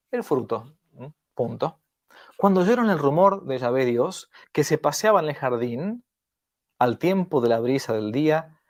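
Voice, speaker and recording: A man speaks at a fairly high pitch, with very wide pitch swings and long, frequent pauses. The recording is very clean, with a silent background. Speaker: priest teaching catechesis. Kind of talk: lecture. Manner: animated.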